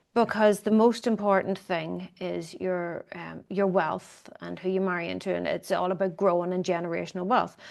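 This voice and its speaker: A medium-pitched woman with an Irish accent at a moderate pace, against a quiet background. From Ireland. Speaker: economist and commentator. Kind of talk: interview conversation. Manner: hesitant, with fillers.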